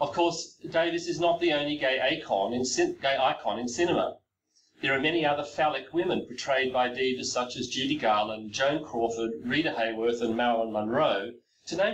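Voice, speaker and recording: He has an Australian accent and a fairly high pitch. The man talks at a fairly quick pace with ordinary pitch variation. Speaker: professor. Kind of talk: lecture. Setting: recorded video presentation. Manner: reading from a text.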